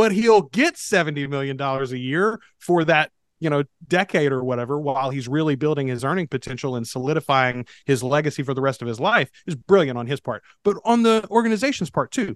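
An unremarkable speaking voice from a man, with lively intonation, a dry, close sound with no echo, and a quiet background. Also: fairly high pitch for a man. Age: 40s. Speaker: podcast producer. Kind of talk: casual chat.

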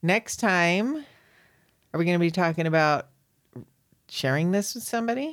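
A woman with a fairly low pitch talks at a moderate pace with long, frequent pauses. The recording is very clean, its background silent. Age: 50s. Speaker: podcast host. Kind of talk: casual chat. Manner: loud.

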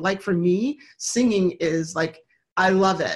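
Speaking at a medium pitch, a woman has a somewhat breathy voice whose pitch varies in an ordinary way. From Michigan. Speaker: motivational speaker and author. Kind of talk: interview.

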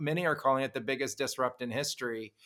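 A man talks at a fairly quick pace with a fairly high pitch and a bright, sharp tone. The recording is very clean, with a silent background. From California, Los Gatos. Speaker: podcast host. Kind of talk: casual interview chat.

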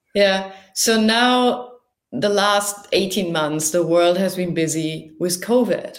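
With audible room echo, a woman speaks very slowly in a medium pitch with a German accent and ordinary pitch variation. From northern Germany. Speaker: marine researcher. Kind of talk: casual interview.

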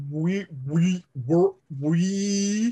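A man puts on a character voice pitched high, captured dry and close with no echo. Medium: actual play. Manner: halting, repetitive, fragmentary.

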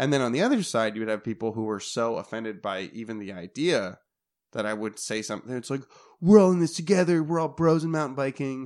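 In an American accent, the speaker talks at a very fast pace with very wide pitch swings over a quiet background. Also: man, medium pitch for a man. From Minnesota. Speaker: pro downhill mountain bike racer. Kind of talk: casual chat.

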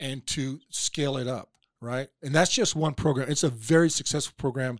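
In an unremarkable speaking voice, a man talks at a moderate pace with fairly high pitch, the sound dry and close with no echo on a very clean recording with a silent background. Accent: American. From Oklahoma. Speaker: political candidate, former police officer. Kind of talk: interview.

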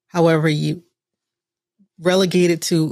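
At a fairly slow pace, a woman speaks with a fairly low pitch. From US, Southern Caribbean heritage. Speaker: podcast co-host, creator. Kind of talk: casual panel chat. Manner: casual, animated.

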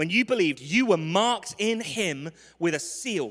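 A man with a London accent in a raised, projected voice, high in pitch, with lively intonation and a bright, sharp yet warm tone. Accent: London English, clear. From London, England. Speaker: visiting preacher. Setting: church with congregation. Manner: humorous, warm.

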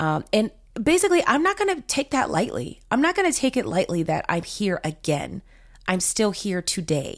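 The speech moves at a moderate pace with very even loudness. Music plays in the background. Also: woman. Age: 30s. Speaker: podcast host, marketing coach. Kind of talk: casual solo monologue.

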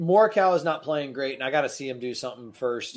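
Against a quiet background, a man with an American accent uses an unremarkable speaking voice, fairly high in pitch, with ordinary pitch variation. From Florida. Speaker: podcast host. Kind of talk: casual banter about golf betting. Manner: casual, rambling, joking.

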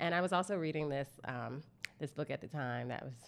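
Speaking at a fairly quick pace, a woman shows vocal fry and ordinary pitch variation. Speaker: communications consultant, entrepreneur. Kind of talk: casual interview chat.

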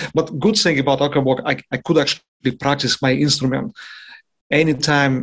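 A man with a Russian accent speaks at a fairly quick pace, with ordinary pitch variation and long, frequent pauses. The recording is very clean, with a silent background. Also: fairly high pitch for a man. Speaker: jazz trumpet player. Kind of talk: interview.

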